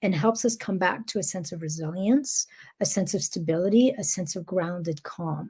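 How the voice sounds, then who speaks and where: With a non-native accent, a woman speaks at a moderate pace in a somewhat breathy voice with a dark, mellow tone, recorded very cleanly against a silent background. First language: not English. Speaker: spiritual wellness coach. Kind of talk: guided teaching monologue. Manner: calm, gentle; hesitant, with fillers.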